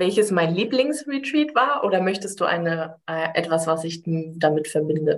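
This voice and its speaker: A woman talks at a moderate pace with a fairly low pitch. Her pitch swings very widely. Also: hardly any pauses. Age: 30s. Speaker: life coach. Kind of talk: casual interview.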